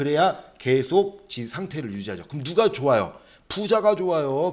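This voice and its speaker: Animated and fairly high in pitch, a man speaks with vocal fry and very wide pitch swings. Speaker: social welfare exam lecturer. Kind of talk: lecture. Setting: classroom. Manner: fast; animated, rhetorical questions.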